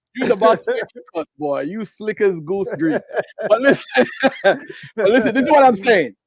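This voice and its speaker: The tone is animated and the pace moderate. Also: man, high pitch for a man, lively intonation, dry, close sound with no echo. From Jamaica. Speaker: debate guest. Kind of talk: heated debate.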